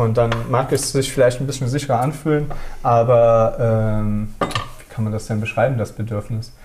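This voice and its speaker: A man at a medium pitch, moderate pace and fairly even intonation, with audible room echo and noticeable background noise. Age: 30s. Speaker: architect. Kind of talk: casual chat. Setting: on location in a housing project, while cooking. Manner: halting.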